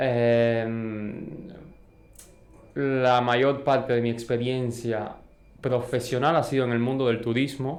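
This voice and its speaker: A man's very slow, flat, monotone delivery at a medium pitch, with a Cuban accent and audible room echo. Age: young. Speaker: entrepreneur, industrial engineer. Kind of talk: podcast interview. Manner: hesitant, many fillers.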